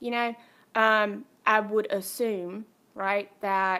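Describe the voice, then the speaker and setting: In a Southern US accent, a woman talks at medium pitch with a bright, sharp tone on a very clean recording with a silent background. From North Carolina, Kannapolis. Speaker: podcast guest. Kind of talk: casual chat.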